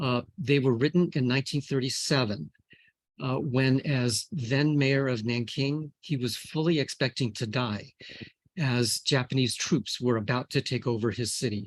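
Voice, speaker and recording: With an American accent, a man speaks in an ordinary speaking voice at a moderate pace, with medium pitch and ordinary pitch variation. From US. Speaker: scientist. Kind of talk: lecture. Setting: video call.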